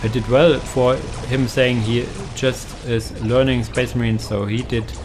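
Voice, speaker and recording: Over noticeable background noise and audible room echo, a man speaks at a fairly slow pace with a German accent. His intonation stays monotone and flat. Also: medium pitch for a man. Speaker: video game content creator. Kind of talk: game commentary tutorial. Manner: hesitant, many fillers.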